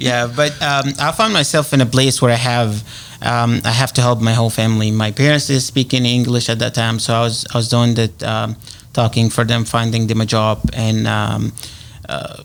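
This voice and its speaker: With a strong Egyptian accent, a man speaks at a moderate pace and medium pitch, using fairly even intonation over noticeable background noise. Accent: heavy Egyptian Arabic. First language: Arabic. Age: 30s. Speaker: realtor. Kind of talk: radio interview. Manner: halting, many fillers.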